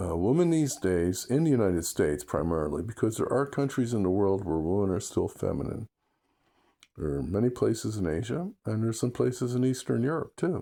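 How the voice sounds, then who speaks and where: A fairly low-pitched man at a fairly quick pace, with very wide pitch swings, on a very clean recording over a silent background. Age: 70s. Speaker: vlogger giving dating opinions. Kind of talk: casual monologue. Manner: hesitant, with fillers.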